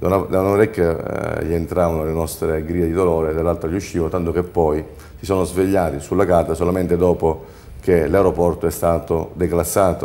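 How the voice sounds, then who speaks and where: A man's very deep, low voice, monotone and flat in intonation, at a fairly quick pace. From Sicily. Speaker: entrepreneur; talk show guest. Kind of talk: studio panel discussion. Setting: TV studio. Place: studio. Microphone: lapel.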